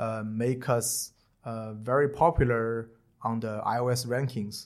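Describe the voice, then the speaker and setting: A man with a Chinese accent at a medium pitch, on a very clean recording with a silent background. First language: Mandarin Chinese. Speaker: tech startup co-founder. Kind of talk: interview. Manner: hesitant, many fillers.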